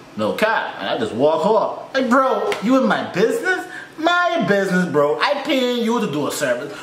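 The man's voice comes with audible room echo and light background noise. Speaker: reaction YouTuber. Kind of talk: reaction video commentary. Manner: animated, casual, chatty. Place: home room.

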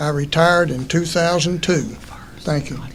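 A high-pitched man at a moderate pace with fairly even intonation, over noticeable background noise. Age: 70s. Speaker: political candidate. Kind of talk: candidate statement.

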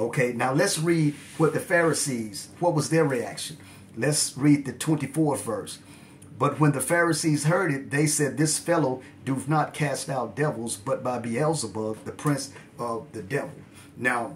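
A somewhat breathy voice moves at a fairly slow pace with ordinary pitch variation, over light background noise. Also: man. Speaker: religious teacher. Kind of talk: bible study teaching. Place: home room. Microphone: phone near.

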